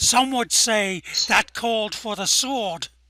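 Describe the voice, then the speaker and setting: Fairly slow and fairly high in pitch, the voice is a put-on character voice. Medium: audio drama. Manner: sarcastic, mocking.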